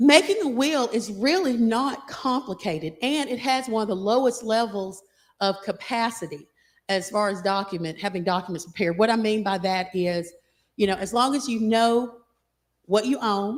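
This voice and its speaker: Over a very clean recording with a silent background, a woman speaks with lively intonation at a fairly high pitch. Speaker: estate planning lawyer. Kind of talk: seminar talk. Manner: fast.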